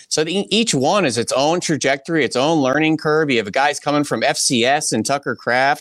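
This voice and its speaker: In a very clean recording with a silent background and a dry, close sound with no echo, a normal speaking voice moves at a moderate pace with ordinary pitch variation. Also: man. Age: 30s. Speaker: football analyst. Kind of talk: casual chat.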